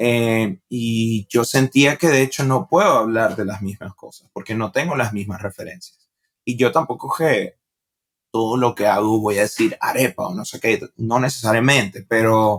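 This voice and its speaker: With a Venezuelan accent, a man speaks at a fairly slow pace and medium pitch, showing ordinary pitch variation and big swings in loudness in a dry, close sound with no echo. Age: 20s. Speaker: stand-up comedian. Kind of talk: podcast interview. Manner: casual.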